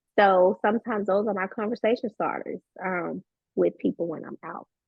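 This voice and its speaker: A woman with a Southern US accent talks at a fairly quick pace, her intonation fairly even but her loudness swinging widely. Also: medium pitch for a woman. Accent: very Southern. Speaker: business coach and tax professional. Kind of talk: podcast interview.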